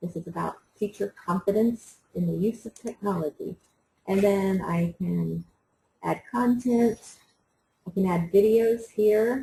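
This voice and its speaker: At a fairly slow pace with long, frequent pauses, a woman speaks at medium pitch in a somewhat breathy, dark, mellow tone with ordinary pitch variation. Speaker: teacher trainer running a workshop. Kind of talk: online workshop tutorial.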